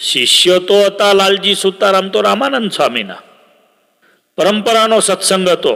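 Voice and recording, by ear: Using lively intonation, a man talks at a moderate pace in a high, bright, sharp voice with vocal fry.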